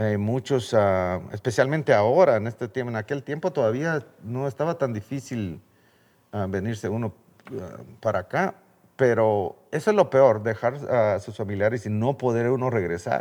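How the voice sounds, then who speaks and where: Speaking at a moderate pace with a Guatemalan accent, a man uses lively intonation at a medium pitch against a quiet background. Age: 60s. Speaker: birdwatching guide and children's charity founder. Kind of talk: interview.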